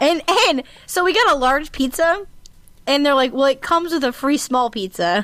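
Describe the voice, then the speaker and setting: A woman's high, animated voice at a moderate pace, very wide pitch swings over very even loudness. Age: 20s. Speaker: podcast co-host. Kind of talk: casual chat. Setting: remote call.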